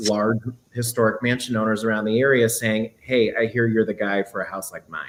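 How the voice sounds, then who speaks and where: A man with an American accent talks at a moderate pace in a medium pitch, his intonation flat and monotone. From US Midwest, Quad Cities (Iowa-Illinois border). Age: 20s. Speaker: real estate agent. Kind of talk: interview. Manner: halting, many fillers and restarts.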